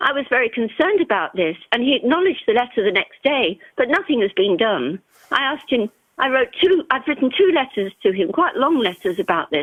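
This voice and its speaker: A woman talks at a fairly quick pace and a high pitch, with very wide pitch swings and very even loudness. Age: 80s+. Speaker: caller. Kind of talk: phone-in call.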